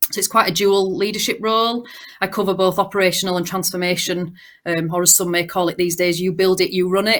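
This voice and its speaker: In a Yorkshire accent, a woman speaks at a very fast pace and medium pitch, in a flat monotone. The recording is very clean, with a silent background. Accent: broad Yorkshire. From Yorkshire, northern England. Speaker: banking technology manager. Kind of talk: panel discussion.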